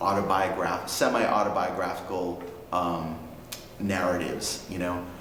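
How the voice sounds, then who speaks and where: Over noticeable background noise, a man with a New England accent talks in a very deep, low voice with monotone, flat intonation. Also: moderate pace. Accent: New England American. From Worcester, Massachusetts. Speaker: poetry slam organizer and youth activist. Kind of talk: interview answer. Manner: casual, hesitant with fillers.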